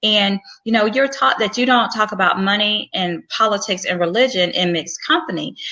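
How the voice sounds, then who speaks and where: A woman speaks in a Southern US accent. Her pitch is fairly high and her pace fairly quick. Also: lively intonation. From US South. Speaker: physician and career coach. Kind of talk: advice talk. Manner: casual, with fillers.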